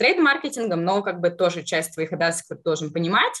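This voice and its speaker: This woman's voice is bright and sharp, sitting at a medium pitch. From southern Russia. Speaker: marketing professional. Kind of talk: interview.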